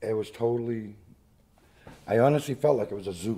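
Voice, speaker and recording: A man talks at a moderate pace with medium pitch and ordinary pitch variation. His tone is dark and mellow. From Maine, Biddeford area (Franco-American). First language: French. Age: 60s. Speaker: local musician, rock band lead singer. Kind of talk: oral history interview. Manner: hesitant, many fillers.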